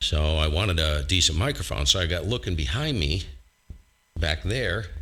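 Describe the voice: A man speaks at a moderate pace in a low voice, his tone bright and sharp and his intonation lively.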